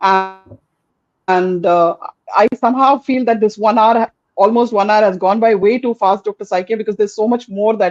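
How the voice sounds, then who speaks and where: With a Tamil accent, a woman with a fairly high voice talks in fairly even intonation, the sound dry and close with no echo. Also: moderate pace. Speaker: podcast host. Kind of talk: interview chat.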